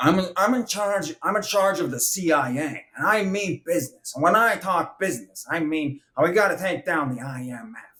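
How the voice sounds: Putting on a character voice, a man speaks at a moderate pace in a high, nasal pitch with an American accent and hardly any pauses. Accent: artificial American.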